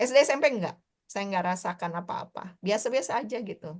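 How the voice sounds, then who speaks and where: A woman talking at a very fast pace over a quiet background. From Indonesia, West Java (Bandung), high school in Ambon. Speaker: teacher and poet. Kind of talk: interview. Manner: casual, hesitant with fillers.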